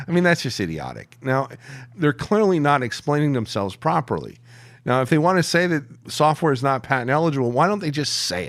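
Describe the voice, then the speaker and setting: A man with a fairly high pitch, an animated tone and lively intonation at a fairly quick pace, in a very clean recording with a silent background. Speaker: founder of an online legal publication. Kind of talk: interview. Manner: halting.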